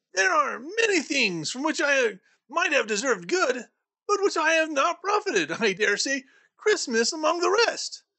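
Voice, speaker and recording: A put-on character voice rings out high and cheerful with an upbeat tone. The pace is moderate. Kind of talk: audiobook reading with character voices. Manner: cheerful, upbeat.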